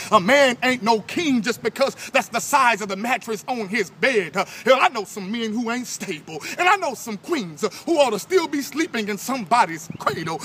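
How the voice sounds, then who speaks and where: Lively intonation and hardly any pauses mark this moderate-paced speech, with noticeable background noise behind it. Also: man. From New Orleans. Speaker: spoken word poet. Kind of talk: spoken word poetry performance. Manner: forceful, rhythmic.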